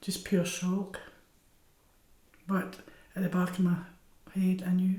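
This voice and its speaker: Audible room echo surrounds a woman speaking at a medium pitch and fairly slow pace in a monotone, flat intonation. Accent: Scottish. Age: 70s. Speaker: cancer patient. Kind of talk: documentary interview.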